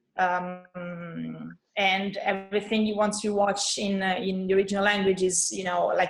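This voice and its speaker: A woman's medium-pitched voice with an Italian accent and fairly even intonation. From Italy, Rome. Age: 30s. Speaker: guest from abroad. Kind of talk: casual chat. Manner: halting.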